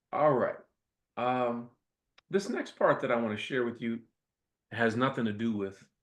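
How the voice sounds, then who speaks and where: A moderate pace with long, frequent pauses, in an American accent. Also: man, medium pitch for a man, ordinary pitch variation. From US Midwest, Toledo, Ohio. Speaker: professor and invited speaker. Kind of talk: lecture. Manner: animated.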